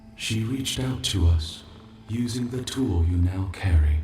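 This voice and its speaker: Putting on a character voice, a man speaks in a calm tone at a fairly low pitch, with slight echo and clear background noise. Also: moderate pace. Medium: video game. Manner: soft, calm.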